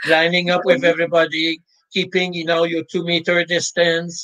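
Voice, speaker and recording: A high-pitched man with a Quebec accent at a moderate pace. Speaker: sports psychologist. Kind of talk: interview.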